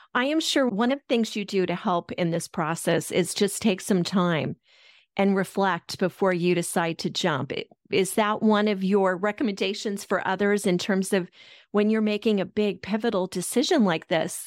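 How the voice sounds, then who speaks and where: A woman talks at a moderate pace with an American accent and ordinary pitch variation, in an ordinary speaking voice. The recording is very clean with a silent background and a dry, close sound with no echo. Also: medium pitch for a woman. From Colorado, US. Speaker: podcast host. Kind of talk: interview.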